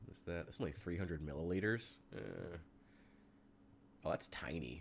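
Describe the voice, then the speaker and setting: The voice has an animated tone, vocal fry and ordinary pitch variation. The pace is moderate. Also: man, very deep, low pitch for a man. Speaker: gaming streamer. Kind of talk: live gameplay stream chat. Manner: casual, animated.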